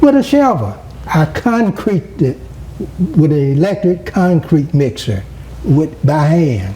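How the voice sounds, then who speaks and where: A man with a fairly high pitch speaks at a fairly slow pace, leaving long, frequent pauses. His pitch swings very widely while his loudness stays very even, with noticeable background noise behind him. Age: 70s. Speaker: former mayor. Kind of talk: interview. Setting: at home.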